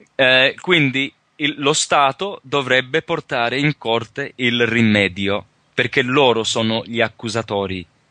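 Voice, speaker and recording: Speaking at a very slow pace with a non-native accent, a man has a bright, sharp tone and lively intonation in a dry, close sound with no echo. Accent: non-native Italian, imperfect. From Australia, rural Victoria, Calabrian parents. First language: English (speaking Italian). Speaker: sovereignty researcher and teacher. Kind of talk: interview. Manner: halting, many hesitations.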